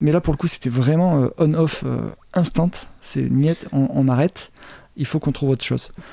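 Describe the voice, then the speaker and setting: Speaking with a southern French accent, a man talks at a fairly quick pace. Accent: southern French, sing-song. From Montpellier, southern France. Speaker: entrepreneur. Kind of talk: interview answer.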